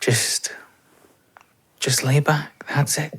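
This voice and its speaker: This soft-spoken man has a Scottish accent and a fairly high pitch. His intonation stays monotone and flat. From Scotland. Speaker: voice actor. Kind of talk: boyfriend roleplay sleep aid. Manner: soft-spoken, slow.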